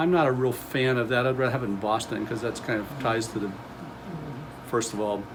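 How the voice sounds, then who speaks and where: A man's medium-pitched voice at a fairly quick pace, with ordinary pitch variation, long, frequent pauses, audible room echo and noticeable background noise. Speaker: museum volunteer and presenter. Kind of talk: public talk. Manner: fast; hesitant with fillers.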